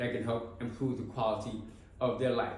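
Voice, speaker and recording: Amid noticeable background noise and audible room echo, a man talks very fast with fairly even intonation. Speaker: formerly incarcerated reentry case manager. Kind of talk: personal testimony.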